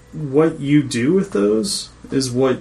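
A man with an American accent speaks very slowly while noticeable noise fills the background. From Washington state, US. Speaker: co-host. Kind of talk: casual interview chat.

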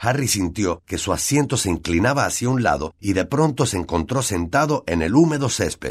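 An unforced reading voice carries the passage.

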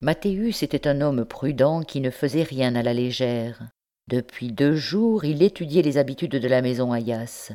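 Against a quiet background, an unforced reading voice carries ordinary pitch variation.

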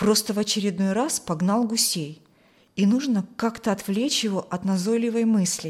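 The recording is plain reading aloud.

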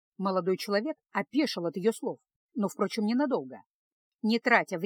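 Against a quiet background, someone does plain reading aloud with ordinary pitch variation.

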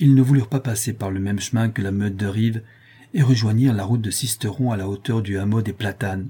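Someone reads the text plainly aloud. Their pitch rises and falls in a normal way.

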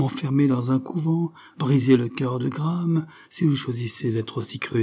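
A natural reading voice carries the clip. Ordinary pitch variation runs through it.

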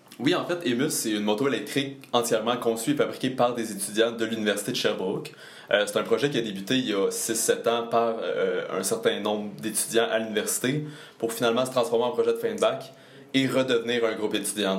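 A man talks fairly quickly, with noticeable background noise and audible echo from the room. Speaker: engineering student. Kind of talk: interview.

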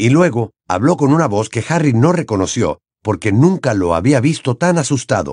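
With lively intonation, an unforced reading voice comes through over a quiet background.

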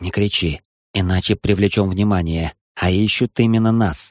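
A man does a put-on character voice at a fairly low pitch, with some hissing. The recording is very clean, with a silent background. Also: moderate pace. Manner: hissing through teeth; urgent.

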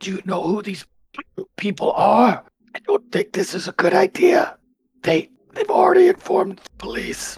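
A man's strained, hoarse, raspy voice with big swings in loudness. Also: moderate pace.

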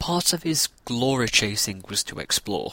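With a northern English accent, a man speaks at a medium pitch with very wide pitch swings. His tone is bright and sharp, and the sound is dry and close with no echo. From northern England. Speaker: podcast host. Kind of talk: scripted narration.

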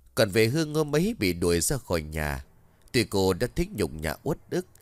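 Natural-voiced reading aloud

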